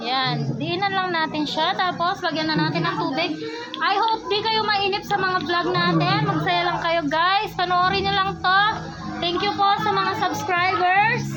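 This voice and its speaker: With very even loudness, a woman speaks at a fairly slow pace amid noticeable background noise and audible room echo. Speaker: vlogger. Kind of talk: casual vlog. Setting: outdoors at a resort pool. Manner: animated.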